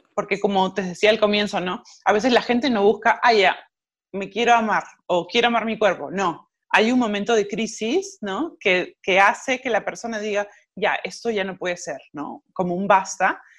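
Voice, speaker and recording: Against a quiet background, a woman with an unremarkable speaking voice talks at medium pitch and a moderate pace, with ordinary pitch variation. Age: 40s. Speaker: self-love coach and yoga teacher. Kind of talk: interview.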